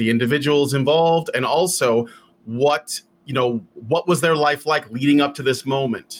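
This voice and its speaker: An ordinary speaking voice from a man with an American accent, medium pitch and fairly even intonation. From Chicago, West Side. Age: 40s. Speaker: podcast tech producer. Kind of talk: casual interview chat.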